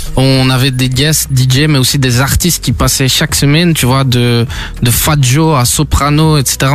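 A man with fairly even intonation and very even loudness, audible room echo, and music in the background. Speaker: DJ. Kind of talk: radio interview, casual chat. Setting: radio studio.

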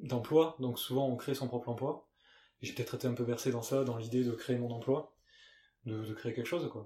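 A man with a slight southwestern French accent speaks at a moderate pace in a somewhat breathy, dark, mellow voice of medium pitch with fairly even intonation. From Gers, southwest France. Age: 30s. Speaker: fashion brand co-founder. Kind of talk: casual interview. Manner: hesitant, many fillers and repeats.

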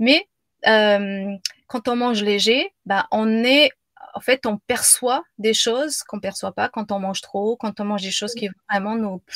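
A woman speaks very slowly at a fairly high pitch with ordinary pitch variation, the sound dry and close with no echo. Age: 40s. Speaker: business coach and yoga teacher. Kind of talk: casual chat. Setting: live video stream. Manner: halting.

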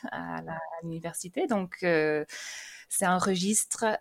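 A woman speaks with an English accent and fairly even intonation. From England, raised in France from age 12. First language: English (speaking French). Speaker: language teacher. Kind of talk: casual interview. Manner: hesitant, with repetitions.

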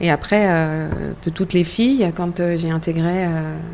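In an ordinary speaking voice, a woman with a fairly low pitch speaks at a moderate pace with fairly even intonation. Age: 50s. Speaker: breast cancer patient, association member. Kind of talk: round-table conversation.

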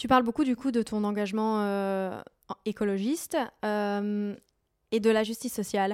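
A woman speaks in an ordinary speaking voice, her pitch fairly high and her intonation fairly even. She goes at a fairly slow pace on a very clean recording with a silent background. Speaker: podcast host. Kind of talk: interview conversation. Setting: at guest's home.

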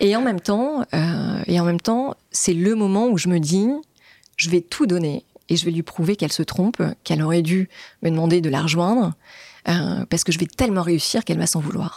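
In a dry, close sound with no echo, a woman with a fairly low pitch and a dark, mellow tone speaks at a moderate pace with very even loudness. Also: ordinary pitch variation. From France, Normandy. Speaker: entrepreneur. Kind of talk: interview. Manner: hesitant, filler-heavy.

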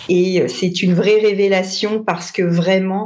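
Noticeable background noise sits behind a woman talking at a medium pitch. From northern France, Lille. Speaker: sales trainer. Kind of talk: interview.

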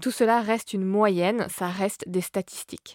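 A woman at medium pitch and a moderate pace, with fairly even intonation, a dry, close sound with no echo and a very clean recording with a silent background. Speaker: science podcast host. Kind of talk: scripted narration. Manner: soft-spoken.

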